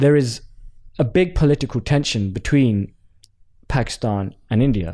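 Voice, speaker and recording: A man with a dark, mellow tone and a medium pitch talks at a moderate pace with very even loudness and long, frequent pauses. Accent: London. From Southeast London. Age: 20s. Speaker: pro cricketer and entrepreneur. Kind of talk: casual interview.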